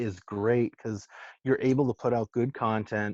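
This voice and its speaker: In a Massachusetts accent, a man speaks at a moderate pace against a quiet background, the sound dry and close with no echo. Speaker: entrepreneur and food influencer. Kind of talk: casual chat. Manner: halting, many repeats and fillers.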